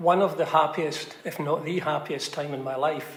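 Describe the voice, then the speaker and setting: A man in a Glaswegian accent, fairly high in pitch with fairly even intonation, amid noticeable background noise and audible room echo. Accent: Glaswegian Scottish. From Scotland, Glasgow (Bridgeton). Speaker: village resident sharing memories. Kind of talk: group reminiscence interview. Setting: church.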